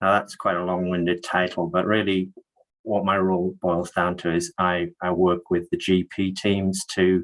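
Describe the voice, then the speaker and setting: A man with an English accent, a very deep, low pitch and a fairly slow pace, in a dry, close sound with no echo. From northeast England. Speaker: health network manager. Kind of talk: webinar presentation.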